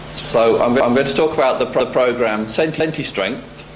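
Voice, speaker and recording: Noticeable background noise along with audible room echo. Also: man. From English Midlands, Wolverhampton. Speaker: academic researcher. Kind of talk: lecture. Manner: halting, many stutters and repeated words.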